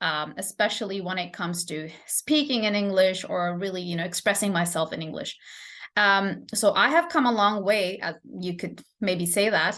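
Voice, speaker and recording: Against a quiet background, the speaker has a bright, sharp tone, a non-native accent, ordinary pitch variation and a moderate pace. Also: woman, medium pitch for a woman. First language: not English. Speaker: English teacher. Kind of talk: live stream lesson. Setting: live stream. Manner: halting, many fillers.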